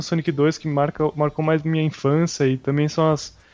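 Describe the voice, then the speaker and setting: Music plays behind the voice. Delivery is at a moderate pace. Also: man. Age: 20s. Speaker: podcast co-host. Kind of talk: casual chat.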